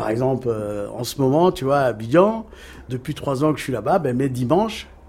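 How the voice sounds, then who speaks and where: Lively intonation from a man at a medium pitch and a fairly slow pace. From Cape Verde, Dakar and Paris suburbs. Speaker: record label founder. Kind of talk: casual interview. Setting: outdoors.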